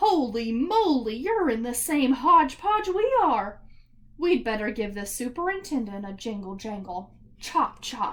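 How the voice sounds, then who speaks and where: A woman puts on a character voice at a high pitch. Her pitch swings very wide as she talks at a moderate pace. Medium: read story.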